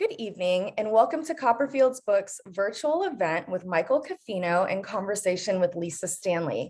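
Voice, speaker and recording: This woman has an unremarkable speaking voice, medium in pitch with lively intonation. She goes at a moderate pace and hardly pauses. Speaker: bookstore events host. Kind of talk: event introduction.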